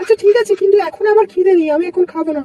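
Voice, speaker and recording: A woman in a cartoonish character voice, squeaky and extremely high-pitched, talks at a very fast pace with ordinary pitch variation in a dry, close sound with no echo. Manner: hesitant.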